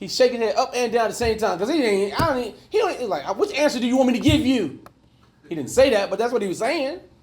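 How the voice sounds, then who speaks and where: Over noticeable background noise and audible room echo, a man with an extremely high pitch talks very fast with lively intonation. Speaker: life coach and mentor. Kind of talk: conference talk to a men's group. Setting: conference room with live audience. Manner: animated.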